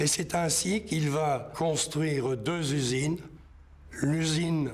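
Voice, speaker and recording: With audible room echo, a man speaks at a fairly high pitch, very slowly, with fairly even intonation. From northern France, Nord near Maubeuge. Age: 60s. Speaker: local history witness. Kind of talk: testimony.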